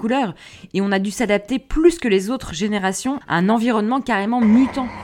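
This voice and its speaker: Music plays in the background as a woman talks at a fairly high pitch. Her tone is animated. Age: 30s. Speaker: podcast host. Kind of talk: scripted monologue.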